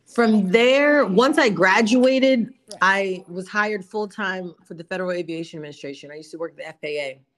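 Using an ordinary speaking voice with an American accent, a woman speaks at a moderate pace and a medium pitch. Her intonation is lively, her loudness swings widely, and she hardly pauses. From South Jersey, US. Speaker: entrepreneur, gelato business owner. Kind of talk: interview.

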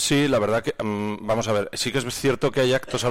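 His intonation stays fairly even. The man talks at a very fast pace. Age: 40s. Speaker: cultural association president. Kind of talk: radio interview. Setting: radio studio.

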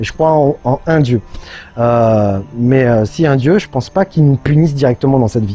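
A man speaks at a moderate pace and medium pitch in a dark, mellow, somewhat breathy tone. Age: 30s. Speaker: YouTuber and entrepreneur. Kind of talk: personal video monologue. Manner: hesitant, many fillers.

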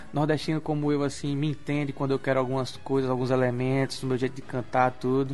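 Over music in the background, someone with a northeastern Brazilian accent speaks at a very fast pace with fairly even intonation. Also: man. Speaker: singer. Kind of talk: radio interview. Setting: radio studio.

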